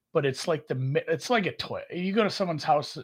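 A man with a Minnesota accent sounds somewhat breathy, with lively intonation. The recording is very clean with a silent background. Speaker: podcast co-host. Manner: casual, rambling, conversational.

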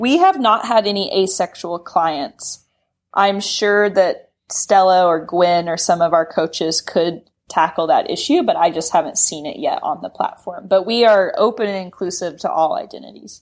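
A woman at medium pitch talks at a moderate pace with ordinary pitch variation in a plain, everyday voice. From US South, Knoxville, Tennessee. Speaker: sex education app founder. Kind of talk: podcast interview. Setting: remote call.

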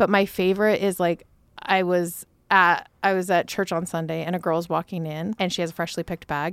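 A woman talks at a fairly quick pace with a fairly low pitch. Her intonation is monotone and flat, and the recording is very clean with a silent background. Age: 40s. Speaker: entrepreneur, company founder and CEO. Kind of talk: casual chat.

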